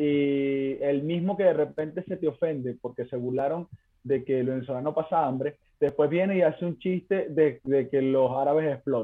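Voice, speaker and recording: Here is a man with an unremarkable speaking voice and fairly high pitch. His pace is moderate and his pitch variation ordinary. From Venezuela. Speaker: stand-up comedian. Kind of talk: casual chat.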